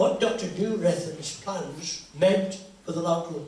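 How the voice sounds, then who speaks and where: Noticeable background noise and audible room echo around a man's high-pitched voice. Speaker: local historian. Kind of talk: public talk. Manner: conversational.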